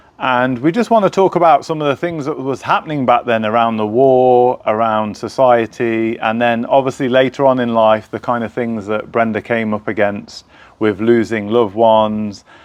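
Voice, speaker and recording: Speaking at a moderate pace, a man uses a normal speaking voice pitched in the medium range, with ordinary pitch variation. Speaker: podcast host. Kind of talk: interview host talk.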